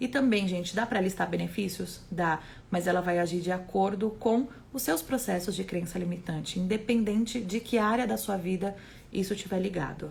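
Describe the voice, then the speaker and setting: At a moderate pace and medium pitch, a woman with a Brazilian accent speaks with vocal fry and ordinary pitch variation. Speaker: holistic therapist. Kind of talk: live stream talk.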